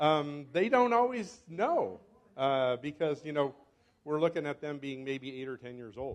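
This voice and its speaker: Speaking at a fairly slow pace, a man uses a fairly high pitch, lively intonation and big swings in loudness. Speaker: professor. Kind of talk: lecture. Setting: stage with audience. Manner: halting.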